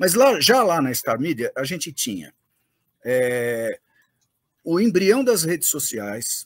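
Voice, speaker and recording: The recording is very clean with a silent background. A man speaks at a fairly slow pace with very wide pitch swings. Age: 60s. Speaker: M&A advisor and startup investor. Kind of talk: interview. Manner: hesitant, many fillers.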